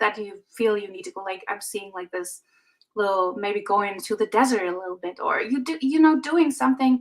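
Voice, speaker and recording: Her intonation lively, a woman talks with a fairly high pitch. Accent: non-native. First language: not English. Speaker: intuitive reader. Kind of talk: live intuitive reading. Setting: livestream. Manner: halting, many fillers.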